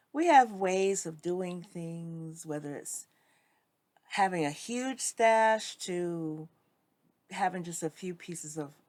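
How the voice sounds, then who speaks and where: Speaking very slowly in a fairly low voice, a woman shows big swings in loudness. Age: 60s. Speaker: sewing vlogger. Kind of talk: casual vlog talk to camera. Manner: hesitant, many fillers.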